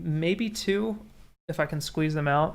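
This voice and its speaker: In a relaxed tone, a man speaks at a very slow pace with a fairly high pitch. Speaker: streamer and 3D hobbyist; streamer. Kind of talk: casual livestream chat. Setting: livestream on camera. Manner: halting, with repeated words. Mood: relaxed, reflective. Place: home room.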